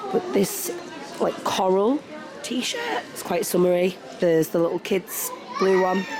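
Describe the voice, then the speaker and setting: A fairly slow pace in a British accent, long, frequent pauses, and noticeable background noise. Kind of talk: casual vlog talk to camera.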